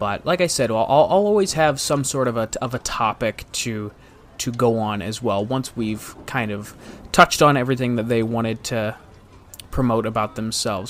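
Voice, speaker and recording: A man with an American accent talks at a moderate pace and medium pitch, with ordinary pitch variation. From US Midwest, Northeast Ohio. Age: 20s. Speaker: podcast host. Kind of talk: casual podcast monologue. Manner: halting, frequent repetitions.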